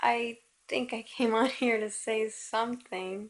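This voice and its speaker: Against a quiet background, a woman's fairly high voice stays monotone and flat at a fairly slow pace. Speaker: vlogger. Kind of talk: casual vlog rant. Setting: video to camera at home. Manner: rambling, unscripted, self-questioning. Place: home room. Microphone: phone near.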